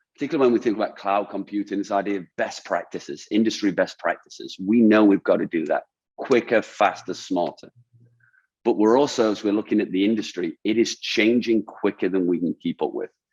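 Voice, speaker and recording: A man's fairly low-pitched voice with a British accent, fairly quick in pace, the sound dry and close with no echo. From UK. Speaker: design thinking consultant. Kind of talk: webinar talk. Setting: webinar. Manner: hesitant, repeats words.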